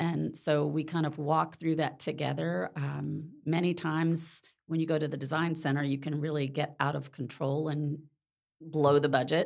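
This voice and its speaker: An American accent comes from a woman with a very deep, low voice and vocal fry. She keeps a flat monotone at a moderate pace. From Mississippi, US South. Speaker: real estate agent. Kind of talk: casual interview.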